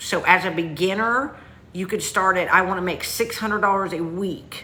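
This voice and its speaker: A woman talks in a strong Southern US accent at a moderate pace. Her medium-pitched voice has ordinary pitch variation, and the room echo is audible. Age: 50s. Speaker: online business coach. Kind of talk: livestream sales pitch. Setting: livestream. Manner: casual, chatty.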